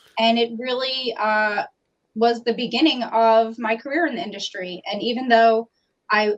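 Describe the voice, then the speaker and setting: With a New York accent, a woman speaks in a fairly high voice with fairly even intonation. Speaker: customer service trainer. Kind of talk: interview. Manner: fast.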